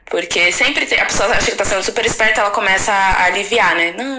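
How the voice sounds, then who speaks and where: Lively intonation marks a woman's fairly high voice at a moderate pace. Noticeable background noise and audible room echo surround her. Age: 30s. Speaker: rapper and songwriter. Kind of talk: casual chat.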